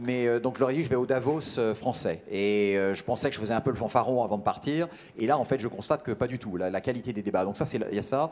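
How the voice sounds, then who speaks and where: The speech moves at a fairly quick pace with ordinary pitch variation over light background noise. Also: man, medium pitch for a man. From France. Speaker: business lawyer. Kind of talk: interview. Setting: event studio set. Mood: calm, thoughtful. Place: hall. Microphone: handheld.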